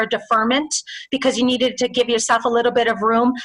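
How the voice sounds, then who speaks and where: There is noticeable background noise in this clip. A woman speaks at a high pitch. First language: Spanish. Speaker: small business loan official. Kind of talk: webinar Q&A. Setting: video webinar. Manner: fast.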